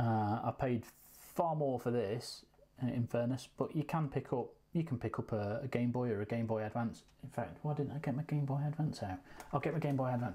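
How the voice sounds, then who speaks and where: With an English accent, a man speaks at a fairly quick pace in a dark, mellow, somewhat breathy tone. His loudness stays very even, and his pitch varies in an ordinary way. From England. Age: 40s. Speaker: YouTube gaming unboxer; gaming video host. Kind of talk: casual unboxing vlog. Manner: hesitant, many fillers. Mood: relaxed, lightly humorous. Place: home room. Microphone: lapel.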